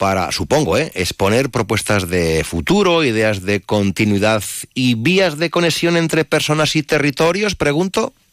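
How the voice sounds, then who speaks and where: Pitch moves in very wide swings. Delivery comes at a fairly slow pace. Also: man, dry, close sound with no echo. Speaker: radio host. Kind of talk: radio interview. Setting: studio. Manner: animated.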